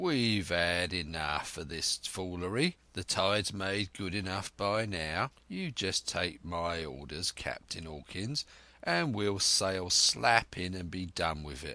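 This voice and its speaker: A man's put-on character voice, very deep and low, at a fairly slow pace with hardly any pauses. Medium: read story. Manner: gruff, blunt.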